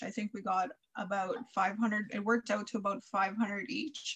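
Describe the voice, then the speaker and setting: The woman's voice sits at a medium pitch and is somewhat breathy. Her pitch varies in an ordinary way. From Saskatchewan, Canada (First Nations). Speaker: podcast co-host. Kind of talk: casual interview.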